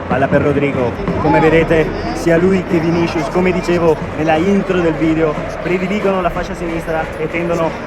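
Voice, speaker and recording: A man speaks at a high pitch with fairly even intonation. Room echo and noticeable background noise are audible. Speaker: football vlogger. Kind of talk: live commentary from stadium stands. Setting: football stadium crowd. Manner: speaks quietly, hushed.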